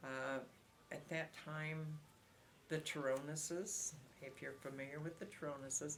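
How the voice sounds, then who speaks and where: Fairly slow, with long, frequent pauses, a woman with an American accent speaks at a very deep, low pitch and fairly even intonation. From Iowa, USA. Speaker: longtime local resident, oral history interviewee. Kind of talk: oral history interview answer. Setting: interview recording.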